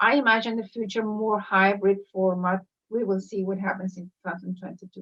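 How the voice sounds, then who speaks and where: At a fairly quick pace, a woman with a Spanish accent talks at a medium pitch, her intonation monotone and flat and her loudness swinging widely. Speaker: professor, school director. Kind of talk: interview. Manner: halting.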